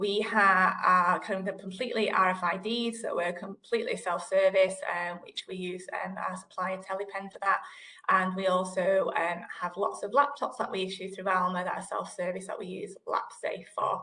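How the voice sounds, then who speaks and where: Against a quiet background, a woman with a northern English accent talks at a moderate pace with fairly even intonation. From northern England. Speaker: digital library manager; panelist. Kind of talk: panel discussion. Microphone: video call.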